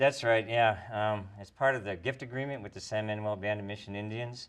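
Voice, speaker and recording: A man with a Minnesotan accent at a fairly quick pace, over a quiet background. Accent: Minnesota. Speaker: professor. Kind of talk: tv interview.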